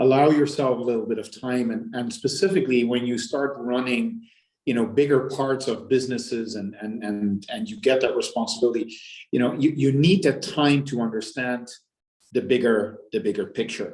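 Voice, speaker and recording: In a Dutch accent, a man speaks at a medium pitch. His pitch variation is ordinary. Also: moderate pace. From Netherlands. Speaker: business executive. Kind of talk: interview. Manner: halting, many repetitions.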